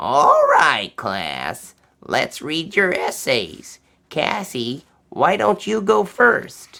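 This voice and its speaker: This put-on character voice sits at a middle pitch and moves at a very slow pace. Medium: read story. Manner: warm, measured.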